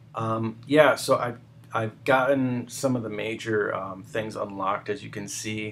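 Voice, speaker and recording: Noticeable background noise behind a man of medium pitch, talking at a fairly slow pace. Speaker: gamer. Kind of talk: casual game tutorial voice-over. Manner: hesitant, many filler words.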